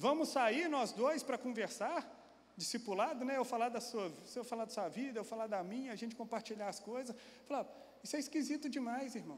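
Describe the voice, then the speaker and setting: Animated and quick, a man speaks at an extremely high pitch with ordinary pitch variation. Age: 40s. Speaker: pastor. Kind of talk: sermon. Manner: animated storytelling.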